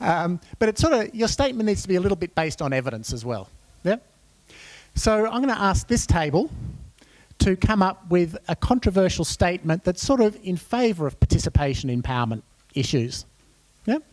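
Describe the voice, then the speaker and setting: An Australian-accented man with a high pitch and very wide pitch swings talks at a fairly quick pace with long, frequent pauses, in a dry, close sound with no echo. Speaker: workshop facilitator. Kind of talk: conference workshop facilitation. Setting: conference room with audience.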